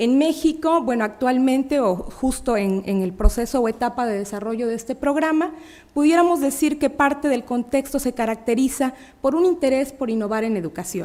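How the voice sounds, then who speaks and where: Her voice high in pitch yet dark and mellow in tone, a woman talks at a moderate pace. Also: lively intonation. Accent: Mexican. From Mexico, Puebla. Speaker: academic researcher. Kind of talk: conference talk. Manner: halting, many fillers.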